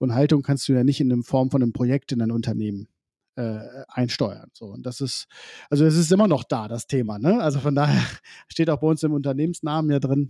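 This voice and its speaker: An ordinary speaking voice comes through at a fairly quick pace with ordinary pitch variation, on a very clean recording with a silent background. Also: man, medium pitch for a man. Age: 40s. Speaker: agency founder, digitalization consultant. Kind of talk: casual interview.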